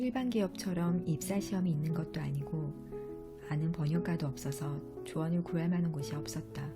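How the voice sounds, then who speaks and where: A woman keeps a moderate pace as music plays in the background. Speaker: audiovisual translator and book author. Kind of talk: audiobook reading of own book's prologue. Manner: soft-spoken ASMR-style reading.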